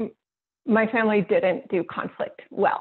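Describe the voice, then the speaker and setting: A woman's fairly slow delivery with a West Coast American accent. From northern California. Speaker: workbook co-author and facilitator. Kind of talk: workshop introduction.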